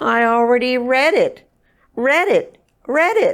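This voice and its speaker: A woman uses a put-on character voice, raised and projected, at a high pitch. Her pitch swings very widely, and she speaks at a fairly slow pace. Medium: read story.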